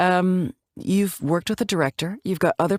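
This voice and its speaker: A woman speaks with a Canadian accent. The sound is dry and close with no echo, on a very clean recording with a silent background. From Canada, Calgary, Alberta. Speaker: actor. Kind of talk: interview. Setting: podcast.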